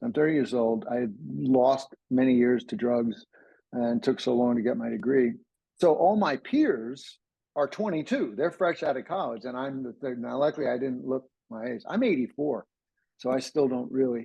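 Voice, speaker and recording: A man with an American accent talks in a plain, everyday voice at medium pitch and a moderate pace, with ordinary pitch variation. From US, New Jersey. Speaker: ADHD coach. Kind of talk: interview, personal story. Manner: casual, with frequent repetitions and fillers.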